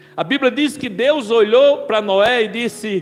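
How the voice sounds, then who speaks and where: A man talks at a fairly slow pace with an extremely high pitch. Noticeable background noise runs through the clip. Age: 60s. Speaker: pastor. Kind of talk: sermon.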